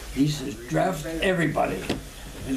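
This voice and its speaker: Noticeable background noise sits behind a man with an American accent. His pitch is fairly high. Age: 80s+. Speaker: army veteran of the Korean War. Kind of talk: casual reminiscing storytelling to family.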